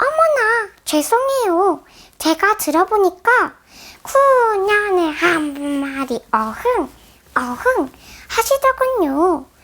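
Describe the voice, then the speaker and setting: A woman's put-on character voice, extremely high in pitch, very slow, with very wide pitch swings and long, frequent pauses. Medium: read story.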